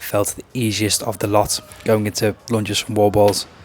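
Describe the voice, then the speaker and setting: A man speaks at a moderate pace in a monotone, flat intonation with a fairly low pitch. Noticeable background noise is present. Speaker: fitness vlogger and coach. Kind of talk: casual vlog narration.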